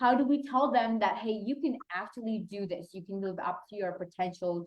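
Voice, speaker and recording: A woman speaks at a fairly high pitch with a Pakistani accent. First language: Urdu. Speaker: youth mentor and activist. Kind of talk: panel discussion.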